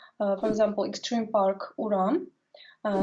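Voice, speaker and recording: The speaker is a woman with a Tatarstan accent. Her pitch is fairly high and her pace moderate. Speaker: language expert guest. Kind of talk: interview. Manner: halting.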